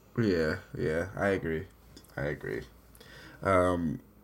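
A man speaks in an animated tone. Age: 30s. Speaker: podcast host. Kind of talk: casual chat.

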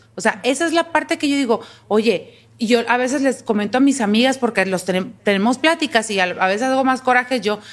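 A fairly quick pace and ordinary pitch variation in a woman's high voice. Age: 40s. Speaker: university professor and podcast co-host. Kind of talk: casual chat.

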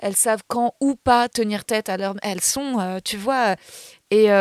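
In a dry, close recording with no echo, a woman with an unremarkable speaking voice talks at a moderate pace, fairly high in pitch and fairly even in intonation. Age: 30s. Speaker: comedian and actress. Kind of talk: casual chat.

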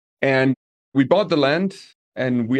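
A man talks with a Danish accent at a medium pitch. The background is quiet. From Denmark, small village. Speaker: property manager. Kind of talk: casual interview. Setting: roof terrace of an Airbnb.

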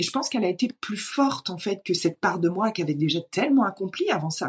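This woman's voice sits at a medium pitch and is somewhat breathy. She talks at a fairly quick pace with lively intonation. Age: 30s. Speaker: entrepreneur coach. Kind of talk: casual interview conversation.

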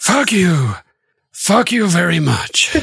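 The pitch stays in the middle. It is a put-on character voice. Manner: crude, cursing.

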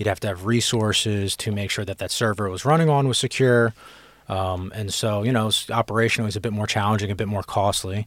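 In a very clean recording with a silent background, a man speaks very fast with a fairly low pitch and fairly even intonation. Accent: American. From Philadelphia, US East Coast. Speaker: cybersecurity executive guest. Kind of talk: casual interview chat.

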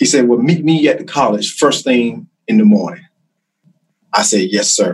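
A man with a Carolinas accent, fairly high pitch, very wide pitch swings, vocal fry and very even loudness. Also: moderate pace. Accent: Southern US (Carolinas). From US South, South Carolina (Chesterfield). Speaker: criminal justice instructor and former law enforcement officer. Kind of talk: interview storytelling.

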